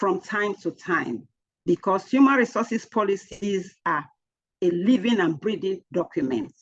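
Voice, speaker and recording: Vocal fry runs through a woman's voice. She speaks at a fairly slow pace. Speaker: HR trainer. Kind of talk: lecture.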